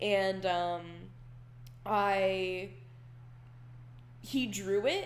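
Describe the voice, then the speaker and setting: Audible room echo around a woman's voice of medium pitch. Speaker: digital artist. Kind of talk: casual chat over a real-time painting tutorial. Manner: casual, rambling with fillers.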